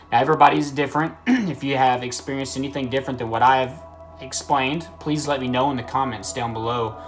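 Over faint background music, a man talks at a very fast pace with ordinary pitch variation. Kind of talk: casual vlog chat. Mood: earnest, sometimes laughing. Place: home room. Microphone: phone near.

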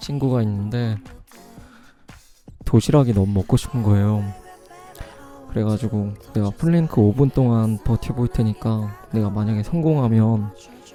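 Against music in the background, a man speaks at a medium pitch and fairly slow pace, with ordinary pitch variation and long, frequent pauses. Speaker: ASMR streamer. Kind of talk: casual live-stream chat with viewers. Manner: relaxed, chatty.

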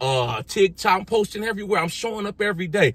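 A man's voice, recorded dry with no echo. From US, grew up in the projects. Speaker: fitness and motivational YouTuber; motivational YouTuber. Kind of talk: motivational vlog monologue. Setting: outdoors, sitting in his driveway. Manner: animated. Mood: motivational, defiant. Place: car. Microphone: phone near.

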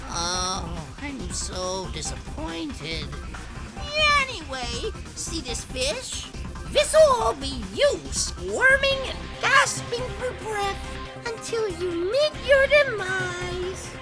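Over clear music in the background, a cartoonish character voice moves at a very slow pace with big pitch swings.

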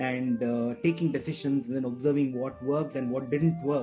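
Clear music can be heard in the background. Over it, a man talks at a moderate pace. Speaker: podcast guest. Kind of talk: interview answer. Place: home room. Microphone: video call.

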